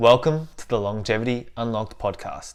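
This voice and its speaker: A man speaks at a fairly quick pace with medium pitch. His is an unremarkable speaking voice. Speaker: podcast host. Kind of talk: podcast intro.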